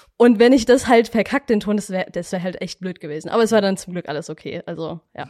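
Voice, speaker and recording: Very fast woman's voice with hardly any pauses, medium pitch, ordinary pitch variation, a dark, mellow tone, and a dry, close sound with no echo. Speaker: media production trainee. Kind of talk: casual chat.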